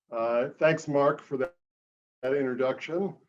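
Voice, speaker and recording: With a northern US accent, a man speaks at medium pitch with ordinary pitch variation. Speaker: author and journalist. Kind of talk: public talk. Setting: video call.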